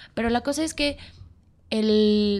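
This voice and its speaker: Speaking at a very slow pace, a woman uses lively intonation in a fairly high pitch. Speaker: podcast guest. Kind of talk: casual chat.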